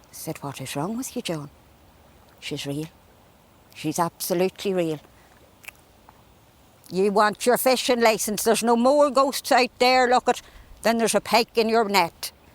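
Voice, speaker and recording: A woman with an Irish accent and fairly high pitch speaks at a moderate pace with lively intonation. She takes long, frequent pauses, and her loudness swings widely. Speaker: storyteller. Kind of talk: folk tale storytelling. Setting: outdoors.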